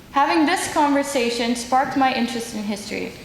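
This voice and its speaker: A woman's voice with ordinary pitch variation, plus noticeable background noise. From Netherlands. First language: Dutch. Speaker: human rights advocate. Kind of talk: symposium speech.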